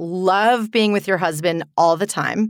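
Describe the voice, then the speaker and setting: In a very clean recording with a silent background and a dry, close sound with no echo, a woman speaks at medium pitch in a plain, everyday voice. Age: 40s. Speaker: podcast host. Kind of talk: casual chat.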